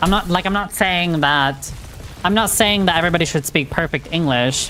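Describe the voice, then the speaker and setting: A woman talks at a fairly quick pace with fairly low pitch and ordinary pitch variation. Her loudness stays very even, and there is noticeable background noise. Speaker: video game live streamer. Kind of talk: casual live stream chat while gaming.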